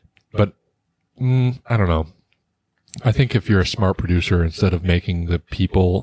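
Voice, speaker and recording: Somewhat breathy and very deep in pitch, a man talks at a moderate pace in a very clean recording with a silent background. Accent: American. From New Jersey. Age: 20s. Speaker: podcast co-host, middle school teacher. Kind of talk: casual chat. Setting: studio.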